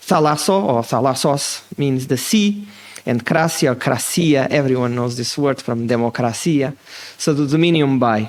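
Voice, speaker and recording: The speaker has a slight Portuguese accent, and there is noticeable background noise. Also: man, medium pitch for a man, ordinary pitch variation. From Portugal. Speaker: political science professor. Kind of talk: lecture. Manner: fast.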